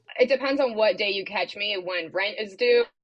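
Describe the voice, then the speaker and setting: With an American accent, a woman speaks in an unremarkable speaking voice, fairly high in pitch and with lively intonation. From Maryland, Washington DC area. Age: 30s. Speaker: comedian, former TV reporter. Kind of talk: casual interview chat.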